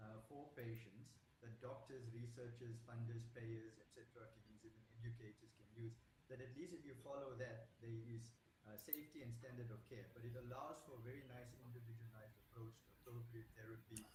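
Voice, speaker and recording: Audible room echo surrounds a man's medium-pitched voice. He talks at a fairly quick pace with a monotone, flat intonation. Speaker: doctor. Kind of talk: panel discussion. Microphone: quiet, hard to hear.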